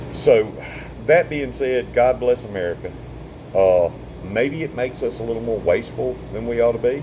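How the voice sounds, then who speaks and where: A man with a Southern US accent talks at a moderate pace and medium pitch with ordinary pitch variation, leaving long, frequent pauses amid noticeable background noise. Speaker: surveyor and vlogger. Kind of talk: casual monologue. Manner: halting.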